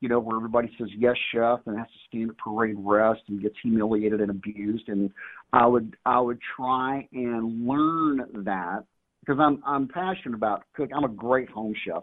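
A man's plain, everyday voice at a medium pitch, with a moderate pace and ordinary pitch variation. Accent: American. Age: 50s. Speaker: firearms and self-defense trainer, retired sheriff's deputy. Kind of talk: casual interview.

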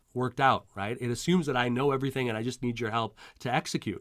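A man talks at a very fast pace in a Montreal accent. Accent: Canadian English, Montreal. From Montreal, Quebec, Canada. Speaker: career coach. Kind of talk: interview. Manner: halting, many repetitions and fillers.

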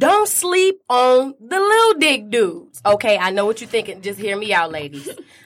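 A woman with a fairly high pitch speaks at a moderate pace with hardly any pauses. Her pitch swings very widely and her loudness shifts a lot. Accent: American. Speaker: stage performer. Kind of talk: casual interview.

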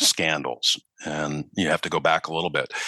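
A man's bright, sharp voice with a Midwestern US accent at a moderate pace, dry and close with no echo. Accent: Midwestern US, non-Southern. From Minneapolis, US Midwest. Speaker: newspaper reporter. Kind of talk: interview conversation. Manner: hesitant, repeats words.

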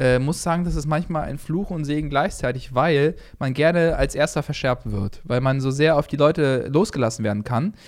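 In an unremarkable speaking voice, a man talks at a moderate pace with hardly any pauses, his fairly high pitch showing ordinary variation, on a very clean recording with a silent background. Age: 20s. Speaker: comedian and podcast co-host. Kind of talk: casual chat.

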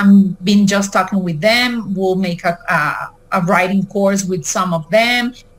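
With a Spanish accent, a woman speaks at a fairly slow pace and medium pitch, with ordinary pitch variation and noticeable background noise. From Mexico and Venezuela. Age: 40s. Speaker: author. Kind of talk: interview. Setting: video call. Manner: halting.

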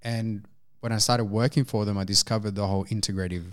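A man with an Australian accent talks at a very fast pace and fairly low pitch, with fairly even intonation. The recording is very clean, with a silent background. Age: 20s. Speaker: integrative health practitioner. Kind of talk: casual chat.

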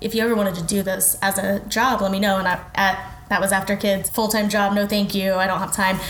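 A woman with an American accent speaks very fast at a medium pitch, with monotone, flat intonation and hardly any pauses. Audible room echo and noticeable background noise surround her. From Oklahoma (Kingfisher). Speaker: food blogger. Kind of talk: casual interview. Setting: studio.

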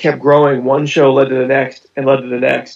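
A man's fairly high voice with vocal fry, at a moderate pace. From Pittsburgh, US. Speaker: magician and illusionist. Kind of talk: interview.

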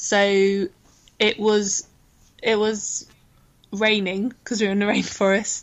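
In an English accent, a woman speaks very slowly with long, frequent pauses and monotone, flat intonation. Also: medium pitch for a woman. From England. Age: 30s. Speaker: football player. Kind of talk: casual interview.

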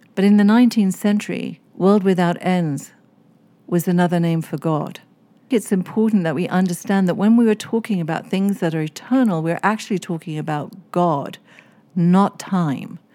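A woman with an English accent, a dark, mellow tone and ordinary pitch variation, on a very clean recording with a silent background. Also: medium pitch for a woman, moderate pace. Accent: English-sounding. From East Africa (Kenya, Seychelles). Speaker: author and religious scholar. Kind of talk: interview. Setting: podcast interview.

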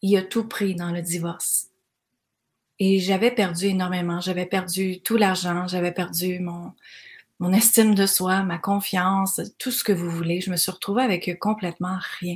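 Monotone, flat delivery at a fairly slow pace, somewhat breathy, on a very clean recording with a silent background. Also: woman, medium pitch for a woman. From Quebec (Granby). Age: 40s. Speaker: life coach podcaster. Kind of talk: motivational monologue. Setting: cottage by the water.

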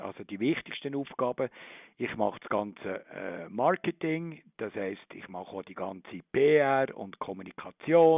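This man's voice is fairly high and moves very slowly. Its pitch rises and falls very widely. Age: 60s. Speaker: zoo director. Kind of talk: interview. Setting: phone call.

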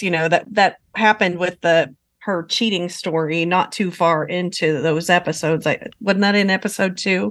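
A woman at medium pitch speaks in a plain, everyday voice. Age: 50s. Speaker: reality TV fan commentator. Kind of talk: casual chat.

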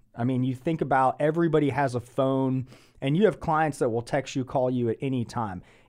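With an American accent, a man has a normal speaking voice, fairly high in pitch, with ordinary pitch variation. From Atlanta, US South. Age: 30s. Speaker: podcast host. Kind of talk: casual interview.

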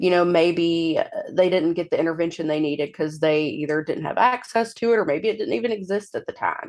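Against a quiet background, a woman with an American accent speaks in an unremarkable speaking voice, fairly low in pitch, with ordinary pitch variation. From US South (Mississippi). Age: 30s. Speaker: patient sharing illness story. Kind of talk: interview.

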